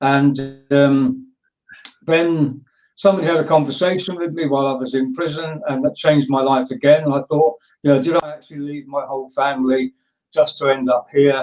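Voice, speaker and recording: This man's intonation stays fairly even. He moves along at a fairly quick pace. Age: 60s. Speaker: speaker helping young people. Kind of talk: interview answer, life story.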